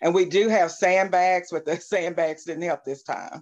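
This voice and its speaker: A woman's intonation stays fairly even, and the background is quiet. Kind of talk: interview answer. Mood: calm, slightly weary. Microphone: video call.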